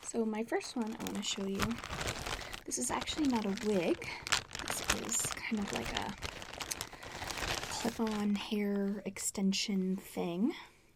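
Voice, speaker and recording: A woman whispers, soft-spoken and relaxed, at a fairly slow pace with long, frequent pauses. Noticeable background noise runs beneath her. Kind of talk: ASMR show and tell, casual talk to camera. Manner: soft-spoken, whispery, relaxed.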